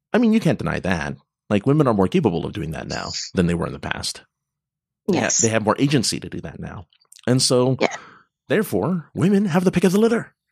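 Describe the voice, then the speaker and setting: A man's very fast speech with vocal fry, very wide pitch swings, and long, frequent pauses. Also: medium pitch for a man. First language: not English. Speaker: podcast co-host. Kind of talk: casual chat. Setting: live stream.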